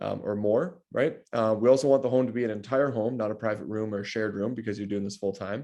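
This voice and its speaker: A man's fairly low, dark and mellow voice at a very fast pace, with hardly any pauses, fairly even intonation and a quiet background. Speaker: real estate data analyst. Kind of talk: client consultation call. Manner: long run-on sentences, talkative; casual, many fillers.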